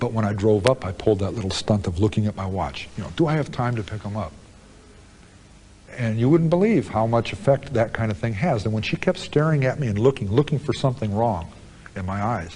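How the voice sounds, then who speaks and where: A plain, everyday voice from a man with an American accent, medium pitch, lively intonation and a fairly quick pace. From United States. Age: 40s. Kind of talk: interview answer. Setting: prison.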